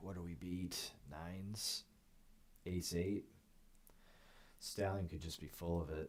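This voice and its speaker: A soft-spoken man with a very deep, low pitch talks at a very slow pace, with long, frequent pauses and fairly even intonation. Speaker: poker streamer. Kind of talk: live gameplay commentary. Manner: quiet, soft-spoken.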